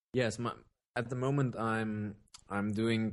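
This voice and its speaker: Speaking with a German accent, a man keeps a monotone, flat intonation at a medium pitch and a fairly slow pace. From Germany. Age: 20s. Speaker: electronic music producer and vocalist. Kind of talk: casual interview. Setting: remote call, evening.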